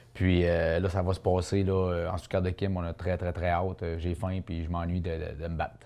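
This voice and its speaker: This man's very deep, low voice has a dark, mellow tone and a monotone, flat delivery with hardly any pauses. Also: moderate pace. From Quebec, Charlevoix (Baie-Saint-Paul). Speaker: boxer. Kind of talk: interview.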